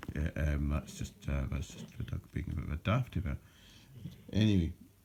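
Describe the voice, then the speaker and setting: A man speaks at a moderate pace with a very deep, low pitch. His dark, mellow tone carries vocal fry. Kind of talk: casual talk to camera.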